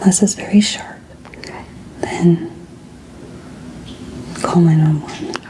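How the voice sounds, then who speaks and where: Through noticeable background noise, a woman whispers in a gentle tone with long, frequent pauses. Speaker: ASMR artist doing a doctor roleplay. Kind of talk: ASMR medical roleplay for sleep. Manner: soft-spoken, gentle, calming.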